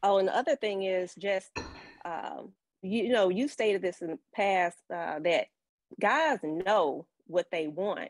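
An ordinary speaking voice from a woman with medium pitch and lively intonation. She talks at a fairly slow pace, and the sound is dry and close with no echo. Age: 30s. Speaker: caller. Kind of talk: call-in discussion. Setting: call-in on live stream.

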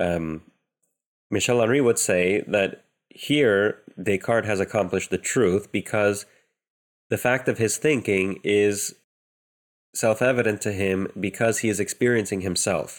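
A man's fairly low voice with ordinary pitch variation and very even loudness, at a fairly slow pace with long, frequent pauses, on a very clean recording with a silent background. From US, Romanian immigrant family. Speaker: theologian and philosopher. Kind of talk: interview.

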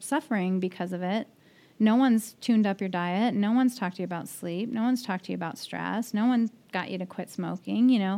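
Against a quiet background, a woman with an American accent has a plain, everyday voice at medium pitch, speaking at a fairly quick pace with ordinary pitch variation. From US Midwest (Nebraska), then Denver. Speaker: neurologist. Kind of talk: casual interview.

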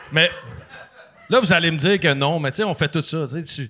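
A man speaks at a fairly quick pace with a fairly high pitch and ordinary pitch variation. Noticeable background noise runs behind him. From Quebec, Sainte-Catherine. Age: 30s. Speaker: former hockey player and podcaster. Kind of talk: casual chat.

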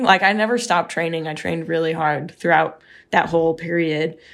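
A woman's fairly low pitch with ordinary pitch variation, in a very clean recording with a silent background. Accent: American. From US, Seattle. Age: 20s. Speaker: professional cyclist. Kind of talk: interview.

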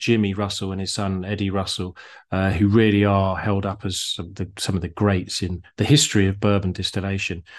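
A man with a British accent speaks at a fairly low pitch and moderate pace against a quiet background. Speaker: podcast host. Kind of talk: casual chat. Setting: video call. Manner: joking, chatty.

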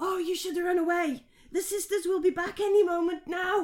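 A man's put-on character voice at an extremely high pitch, delivered at a moderate pace. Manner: warning, eerie.

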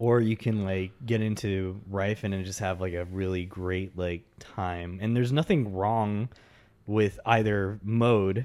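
A man uses a normal speaking voice with a fairly low pitch and fairly even intonation, at a fairly slow pace. The recording is very clean, with a silent background. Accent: American. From Texas. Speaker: podcast co-host. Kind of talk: casual chat.

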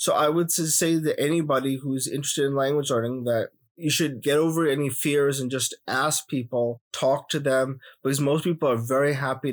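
Speaking at a fairly quick pace, a man with a Punjabi accent has a fairly high pitch and fairly even intonation. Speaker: challenge participant. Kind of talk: casual interview.

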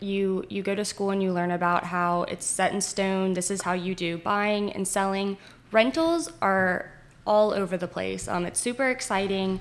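A woman with an American accent has an unremarkable speaking voice at medium pitch. She speaks at a moderate pace with fairly even intonation. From northern Virginia, Winchester. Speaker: realtor. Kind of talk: casual chat.

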